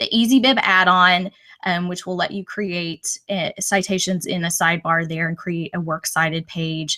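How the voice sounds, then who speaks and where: A woman with an American accent speaks at a moderate pace in a fairly low pitch, her bright, sharp tone and fairly even intonation heard in a dry, close sound with no echo. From Texas. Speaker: educator, former teacher. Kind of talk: webinar presentation. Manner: loud.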